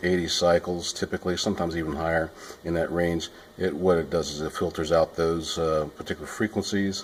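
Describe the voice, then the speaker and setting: A man speaks in a very deep, low voice. His intonation is monotone and flat. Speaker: sound technician. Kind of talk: tutorial. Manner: halting.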